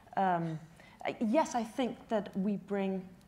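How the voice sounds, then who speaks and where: The voice has a dark, mellow tone, a somewhat breathy quality, and ordinary pitch variation. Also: woman. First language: not English. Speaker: panelist in urban development. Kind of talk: panel discussion. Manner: halting.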